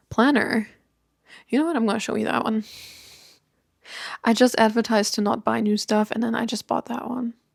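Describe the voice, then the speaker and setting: A woman with a German accent speaks at a fairly high pitch in a relaxed tone and monotone, flat intonation, with long, frequent pauses and a dry, close sound with no echo. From Germany. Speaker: YouTuber. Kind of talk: casual chat.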